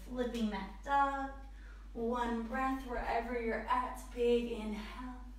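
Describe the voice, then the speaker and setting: Very slowly, a woman speaks in a fairly high pitch. There is noticeable background noise. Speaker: yoga instructor. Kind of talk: live yoga class instruction, breath-cued flow. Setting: live online class. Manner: brisk rhythmic breath-paced cues, clipped commands; calm soothing, with casual filler 'um'.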